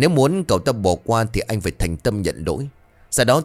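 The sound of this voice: The recording features an unforced reading voice.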